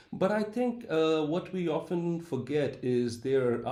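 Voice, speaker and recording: Over audible room echo, a man with a dark, mellow tone speaks very slowly, his pitch varying in an ordinary way. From India, Calcutta. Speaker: professor. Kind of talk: interview.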